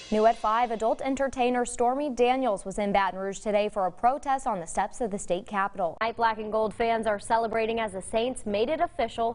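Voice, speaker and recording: The woman has an unremarkable speaking voice, fairly high in pitch with ordinary variation, moving at a fairly quick pace. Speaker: TV news anchor and reporter. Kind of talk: TV news anchor read.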